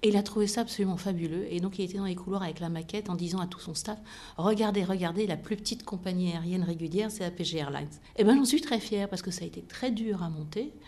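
This woman talks at a very fast pace in a somewhat breathy voice. Her pitch is medium, with ordinary variation. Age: 50s. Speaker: aviation company executive. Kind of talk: interview.

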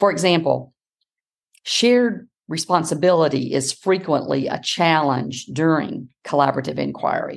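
Speaking in an American accent, a woman uses a very deep, low pitch with vocal fry and lively intonation. Her pace is moderate, and the background is quiet. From US South, South Carolina. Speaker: education professor. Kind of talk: interview.

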